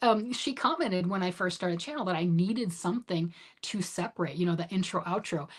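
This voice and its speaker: Somewhat breathy delivery at a fairly quick pace. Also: woman. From US Midwest, Michigan. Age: 50s. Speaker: knitting livestreamer. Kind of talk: casual livestream chat reading comments. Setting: home livestream. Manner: chatty, animated.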